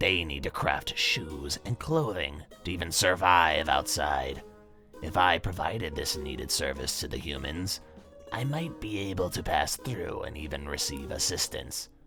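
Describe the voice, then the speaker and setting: Clear music plays in the background as a man performs a put-on character voice. His pitch is very deep and low. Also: moderate pace. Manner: curt, formal.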